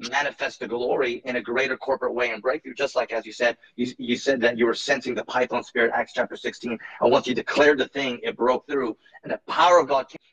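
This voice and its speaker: An unremarkable speaking voice moves at a fairly quick pace with ordinary pitch variation, its sound dry and close with no echo. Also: man. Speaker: online ministry channel host. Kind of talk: interview.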